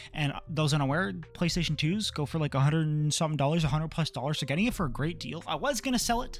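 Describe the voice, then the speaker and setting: With music in the background, a man talks at a very fast pace with hardly any pauses, a fairly high pitch, and lively intonation. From Canada. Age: 20s. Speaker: manga and game collector YouTuber. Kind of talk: casual room tour vlog. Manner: casual, filler-heavy.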